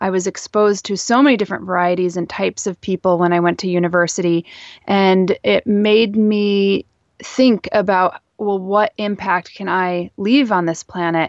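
A woman's unremarkable speaking voice at medium pitch, with an American accent, fairly even intonation and a moderate pace. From US Northeast, northeastern Pennsylvania. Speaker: author and plant content creator. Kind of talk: interview.

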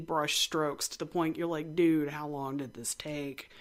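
A woman talks with an American accent. Her recording is very clean, over a silent background. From West Texas. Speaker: art podcast host. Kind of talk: educational talk, casual lecture. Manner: casual, chatty, humorous.

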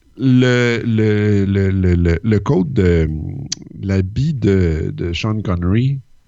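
His voice sits at a fairly low pitch. The man talks at a very slow pace. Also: ordinary pitch variation. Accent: Quebec. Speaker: podcast co-host. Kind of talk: casual chat.

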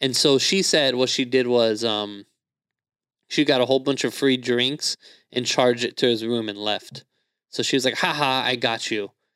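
A man speaks in an unremarkable speaking voice at medium pitch, with fairly even intonation and a moderate pace. The recording is very clean, with a silent background. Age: 20s. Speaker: comedian. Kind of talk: casual chat. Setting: studio.

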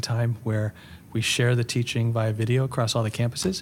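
A man with medium pitch talks at a fairly quick pace, somewhat breathy and in a monotone, flat intonation. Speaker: pastor and author. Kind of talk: casual interview chat. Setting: in person. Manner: calm, gentle.

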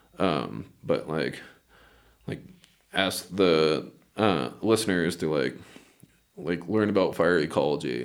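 Speaking very slowly with long, frequent pauses, a man uses a very deep, low pitch, lively intonation and vocal fry. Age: 30s. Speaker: wildland firefighter. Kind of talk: interview.

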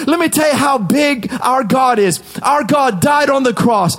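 Passionate in tone, a man speaks at a fairly slow pace with an extremely high pitch. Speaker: preacher. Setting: studio. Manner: high-energy, exhorting, punchy declarations.

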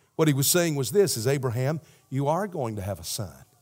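A man with a Southern US accent speaks at a moderate pace and a medium pitch, his voice making very wide pitch swings. The recording is very clean, with a silent background. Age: 60s. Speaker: pastor. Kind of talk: sermon. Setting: church. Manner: animated.

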